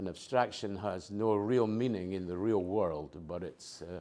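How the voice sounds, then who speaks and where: A man with a fairly low pitch speaks in a non-native accent. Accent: has a lifelong foreign. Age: 80s+. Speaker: retiree and abstract artist. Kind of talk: oral history interview. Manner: hesitant, with many fillers.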